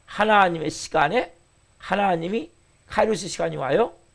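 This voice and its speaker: A high-pitched man's voice, fairly quick, with lively intonation. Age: 50s. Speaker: pastor. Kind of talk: sermon.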